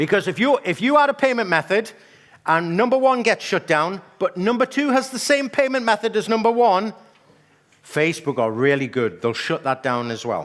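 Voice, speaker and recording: Against a quiet background, a man speaks at a moderate pace with a high pitch, very wide pitch swings and an animated tone. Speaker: marketing trainer. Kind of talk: live workshop presentation. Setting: stage with audience. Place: hall.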